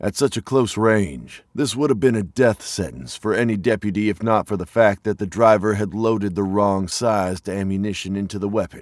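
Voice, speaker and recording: Talking at a moderate pace with hardly any pauses, a man uses an ordinary speaking voice with a fairly low pitch and ordinary pitch variation. The sound is dry and close, with no echo. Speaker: narrator of audio drama. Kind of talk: dramatic narration. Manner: grave, suspenseful storyteller pacing.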